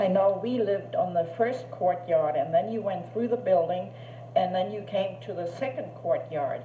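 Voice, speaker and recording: Over noticeable background noise and audible room echo, a woman at a medium pitch talks at a moderate pace with lively intonation. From Germany, Berlin. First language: German. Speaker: grandmother recording memories. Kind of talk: reminiscing monologue. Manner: halting.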